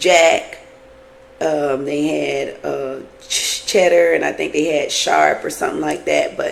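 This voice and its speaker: Very slowly, a woman speaks. Noticeable background noise sits behind her. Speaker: TV show reviewer. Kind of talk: casual review monologue.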